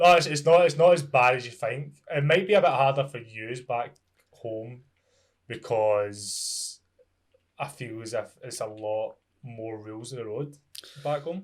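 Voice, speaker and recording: With a Scottish accent, a man speaks at a fairly slow pace in a medium pitch with ordinary variation. His loudness swings widely, and his pauses are long and frequent. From Scotland. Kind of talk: casual podcast guest talk.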